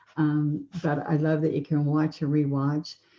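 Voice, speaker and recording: Soft-spoken and very slow, a woman speaks in a dark, mellow tone at a very deep, low pitch. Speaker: painting instructor. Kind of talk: tutorial. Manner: relaxed.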